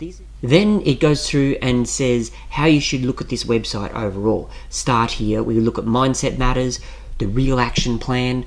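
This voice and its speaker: A man in an Australian accent, speaking at a fairly slow pace. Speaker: personal finance YouTuber. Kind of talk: screen-share website walkthrough. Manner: casual, conversational.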